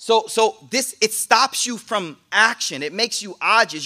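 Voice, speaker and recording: Projecting a raised voice, a man speaks in a high, bright, sharp tone with animated, lively intonation at a fairly slow pace on a very clean recording with a silent background. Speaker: Islamic teacher. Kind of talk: sermon. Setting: live in-person class with audience. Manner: animated, punchy.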